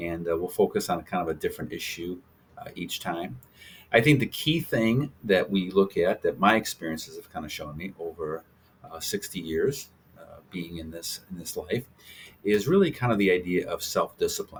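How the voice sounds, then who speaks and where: Loudness swinging widely, at a moderate pace. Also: man. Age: 60s. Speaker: health channel host, doctor. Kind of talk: casual talk to camera. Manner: halting, many fillers.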